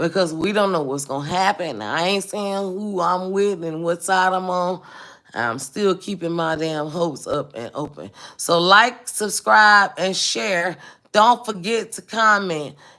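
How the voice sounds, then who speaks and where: A woman with an American accent speaks at a fairly slow pace. Her tone is bright, sharp and animated, with lively intonation. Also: medium pitch for a woman. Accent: Southern US, noticed by East Coast locals. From US South, Mobile, Alabama. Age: 40s. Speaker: home caterer and food vlogger. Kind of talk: casual livestream chat.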